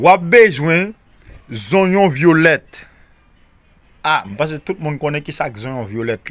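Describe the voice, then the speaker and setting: Pausing long and often, a man speaks at a fairly slow pace with a fairly high pitch and very wide pitch swings. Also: big swings in loudness. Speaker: spiritual remedy video creator. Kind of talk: tutorial.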